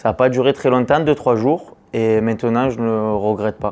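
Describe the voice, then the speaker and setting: A man talks with ordinary pitch variation. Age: 20s. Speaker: construction business owner. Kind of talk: testimony. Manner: hesitant, many fillers.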